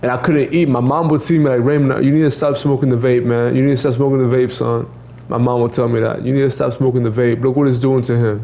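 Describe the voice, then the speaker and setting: A very fast, monotone, flat delivery at very even loudness, with audible room echo and noticeable background noise. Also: man, medium pitch for a man. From Mexico. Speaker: streamer telling personal story. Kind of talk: casual monologue. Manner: repetitive, halting with stammered repeats.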